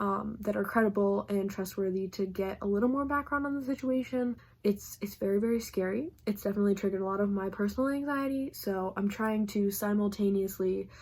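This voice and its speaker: Somewhat breathy and at a medium pitch, a woman talks at a fairly quick pace with hardly any pauses and ordinary pitch variation. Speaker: book vlogger. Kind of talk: casual vlog talk to camera. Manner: fast.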